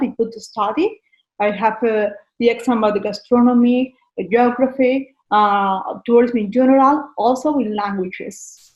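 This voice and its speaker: This woman speaks with a Valencian accent. Her pitch is high. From Spain, Valencia. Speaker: tourist guide. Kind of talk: interview. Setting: video call. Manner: halting.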